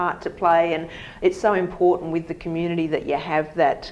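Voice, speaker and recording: Speaking at a fairly quick pace, a woman keeps a monotone, flat intonation at a fairly low pitch. Light background noise is present. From Australia. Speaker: real estate agent and host; host. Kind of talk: interview host on a real estate video show. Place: home room. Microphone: lapel.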